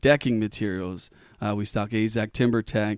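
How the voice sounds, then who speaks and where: In a very clean recording with a silent background, a man with an American accent speaks at a fairly slow pace with ordinary pitch variation. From Pennsylvania, Elizabethtown area. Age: 30s. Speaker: business owner. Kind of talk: interview. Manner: halting.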